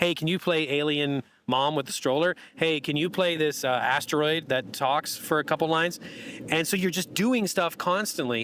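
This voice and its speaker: A man speaks at a fairly high pitch with ordinary pitch variation on a very clean recording with a silent background. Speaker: actor and comedian. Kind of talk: casual chat. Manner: animated.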